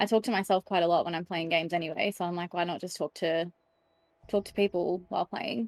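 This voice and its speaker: With an Australian accent, a woman with a medium pitch speaks at a fairly quick pace and fairly even intonation, the sound dry and close with no echo. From Australia, Sydney. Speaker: streamer. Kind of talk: casual chat.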